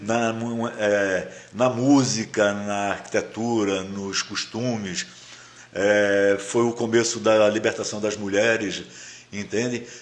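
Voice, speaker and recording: A man's fairly low, monotone voice with flat intonation at a very slow pace. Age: 70s. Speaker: writer. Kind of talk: interview. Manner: halting.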